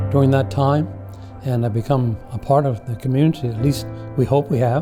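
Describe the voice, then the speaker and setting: Over background music, a man talks at a fairly quick pace in a medium pitch with fairly even intonation. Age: 80s+. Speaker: retired minister. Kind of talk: interview answer.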